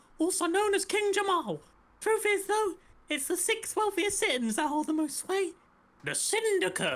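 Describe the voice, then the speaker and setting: A female-sounding, put-on character voice comes through, squeaky and extremely high in pitch. It sounds like an act. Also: moderate pace. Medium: game stream.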